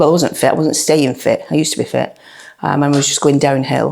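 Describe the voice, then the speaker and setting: Very deep, low tones from a woman, with noticeable noise in the background. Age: 60s. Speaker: dog trainer, gym client giving a testimonial. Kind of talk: testimonial interview. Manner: hesitant, with frequent fillers and repetitions.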